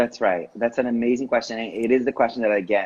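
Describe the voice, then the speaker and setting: Here a man speaks in an animated tone. He has a Portuguese accent. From Brazil. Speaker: spiritual teacher. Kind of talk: casual interview chat. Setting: Instagram live video stream.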